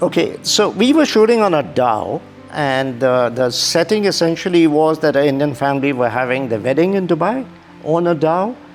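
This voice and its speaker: With music in the background, a man with a fairly high pitch speaks at a moderate pace, lively in intonation and very even in loudness. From India. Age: 60s. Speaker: model. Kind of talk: interview.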